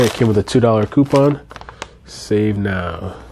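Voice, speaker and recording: Fairly slow, fairly low-pitched speech from a man amid noticeable background noise. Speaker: father. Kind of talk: casual talk to camera.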